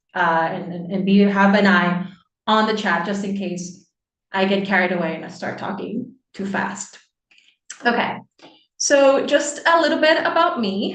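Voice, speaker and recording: With very wide pitch swings and big shifts in loudness, a woman speaks at a medium pitch. Her pace is fairly slow, and room echo is audible. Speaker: interdisciplinary scholar. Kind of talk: online seminar talk. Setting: video call.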